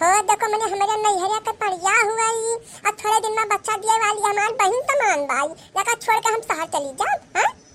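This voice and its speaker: A cartoonish character voice from a woman, extremely high in pitch, at a moderate pace and with ordinary pitch variation. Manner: scolding, bossy.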